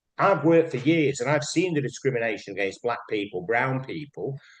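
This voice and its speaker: Lively intonation marks this man's fairly high, somewhat breathy voice in a Mancunian accent. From northern England, Manchester. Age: 60s. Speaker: broadcaster and cultural commentator. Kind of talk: casual chat. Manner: animated.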